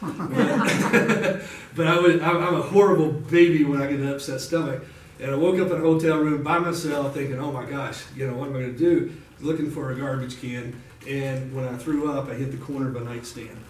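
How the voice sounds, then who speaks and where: A man with a fairly high pitch talks fairly quickly, with audible room echo and noticeable noise in the background. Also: ordinary pitch variation. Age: 50s. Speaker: guest speaker, pirate club president. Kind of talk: personal story talk to support group. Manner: hesitant with fillers.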